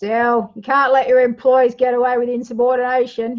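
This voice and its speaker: Using a put-on character voice, a woman speaks at a moderate pace in a raspy, high pitch with monotone, flat intonation. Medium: read story. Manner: sardonic.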